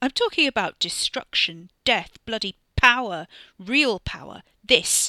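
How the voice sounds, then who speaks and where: A female-sounding, put-on character voice, gruff and high-pitched, speaks at a fairly slow pace on a very clean recording with a silent background. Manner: furious, boastful, menacing.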